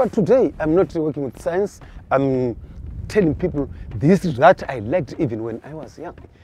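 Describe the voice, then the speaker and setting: This voice has vocal fry and a dark, mellow tone, moving at a fairly quick pace. It sounds passionate, with very wide swings in pitch. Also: man. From Limpopo, northern South Africa. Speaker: field ranger and cultural tour guide. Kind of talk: guided tour storytelling.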